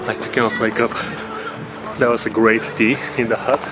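Noticeable background noise sits behind a man who talks at a moderate pace. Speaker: travel vlogger. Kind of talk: casual vlog chat. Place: open country. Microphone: phone near.

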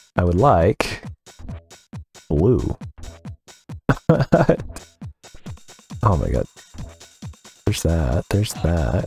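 Very slow speech with long, frequent pauses over music in the background. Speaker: vtuber content creator and gamer. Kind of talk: casual let's play commentary. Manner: casual, confused, complaining.

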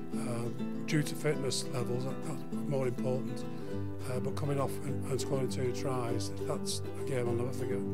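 Loud music fills the background. Over it, a man talks at a moderate pace. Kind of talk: interview answer. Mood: fond, reminiscing.

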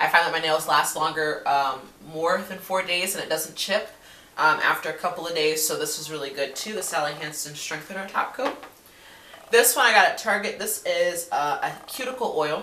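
Fairly quick speech from a woman at a fairly low pitch, with ordinary pitch variation and audible room echo. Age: 20s. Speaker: beauty vlogger. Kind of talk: casual product review to camera. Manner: hesitant, many fillers. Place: home room. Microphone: webcam.

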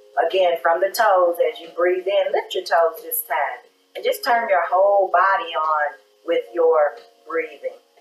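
The speaker goes at a fairly slow pace, with ordinary pitch variation and big swings in loudness. Faint music plays behind, and the room echo is audible. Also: woman. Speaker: yoga instructor and wellness show host; meditation guide. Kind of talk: guided breathing meditation in a chair yoga class, cueing inhales and exhales; guided exercise instruction. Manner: gentle, unhurried run-on cues with soft laughs, gliding between instructions; warm, encouraging and faith-tinged, closing with a prayerful blessing. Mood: calm, soothing guidance. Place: studio.

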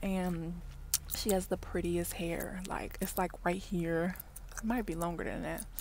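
A woman at a moderate pace with fairly even intonation, dry sound without echo, and light background noise. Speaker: vlogger. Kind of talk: casual vlog chat. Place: car. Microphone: earbuds.

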